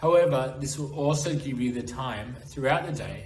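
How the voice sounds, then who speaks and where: With an Australian accent, a man speaks at a moderate pace and medium pitch with ordinary pitch variation, amid noticeable background noise and audible room echo. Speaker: internship program representative. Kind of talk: presentation. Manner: formal.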